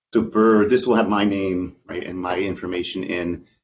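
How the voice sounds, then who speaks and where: A man speaks fairly quickly at a fairly low pitch. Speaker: research program director. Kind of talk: presentation on a call. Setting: online call. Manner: fast.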